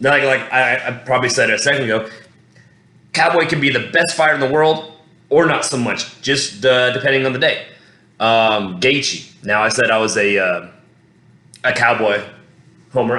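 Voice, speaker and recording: Audible room echo surrounds a man with an American accent and a medium pitch. He keeps a moderate pace with ordinary pitch variation, broken by long, frequent pauses. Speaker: MMA fan commentator. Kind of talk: casual fight breakdown monologue. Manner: rambling, halting with many fillers.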